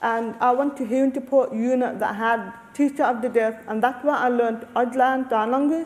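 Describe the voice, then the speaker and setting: Over noticeable background noise, a woman speaks at a moderate pace with a high pitch and fairly even intonation. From Australia, Lebanese family. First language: Arabic. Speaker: deaf researcher and panelist. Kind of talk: panel discussion.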